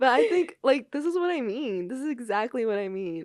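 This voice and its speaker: A woman talks at a moderate pace, her pitch rising and falling very widely. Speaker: podcast host, college student. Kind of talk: casual chat. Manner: halting.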